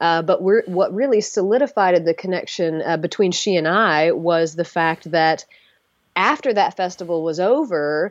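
A woman with an American accent speaks in a normal speaking voice at medium pitch, with ordinary pitch variation, a moderate pace, and a quiet background. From US South. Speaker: circus performer. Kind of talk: interview.

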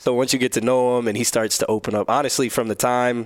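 A man with a normal speaking voice at a medium pitch, with an American accent. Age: 30s. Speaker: professional basketball player. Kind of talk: casual chat.

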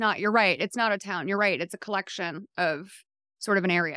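A woman's bright, sharp voice with an American accent, at a fairly quick pace, in a dry, close, very clean recording with no echo and a silent background. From Massachusetts, US. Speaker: TV writer and podcast host. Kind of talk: casual chat.

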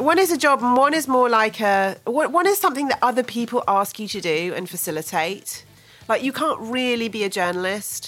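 The pace is fairly quick and the tone animated. Pitch swings very widely throughout. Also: woman, high pitch for a woman. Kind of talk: jokey banter played along with the host's radio patter, a mock-formal show intro. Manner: mischievous, animated and giggly, with a wry, gently sarcastic tone.

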